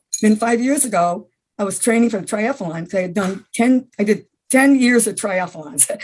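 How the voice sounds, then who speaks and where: Speaking with an American accent, a woman has a fairly high pitch and a somewhat breathy voice. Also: lively intonation, moderate pace. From US Northeast (upstate New York, Adirondacks). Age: 80s+. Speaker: senior athlete. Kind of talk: interview. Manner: halting.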